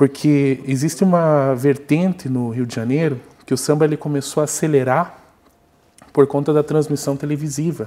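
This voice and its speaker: The man's pitch is fairly high, his tone dark and mellow. His intonation stays fairly even at a moderate pace. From Antonina, Paraná coast, southern Brazil; Paraná, Brazil. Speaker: music researcher; guest. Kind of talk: interview. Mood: calm, explanatory. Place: studio.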